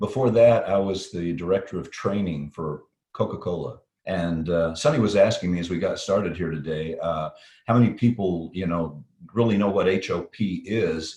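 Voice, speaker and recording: A man with a slight Texas accent speaks at a moderate pace in a very deep, low voice. His tone is dark and mellow, somewhat breathy, with ordinary pitch variation. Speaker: safety consultant, company CEO. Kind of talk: interview. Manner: practiced, professional broadcast delivery; hesitant, repeats words.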